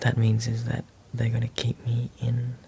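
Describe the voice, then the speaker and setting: In an Australian accent, a man talks quietly and very slowly at a medium pitch, his intonation flat and monotone, with noticeable background noise behind him. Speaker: climate activist vlogger. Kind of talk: video diary.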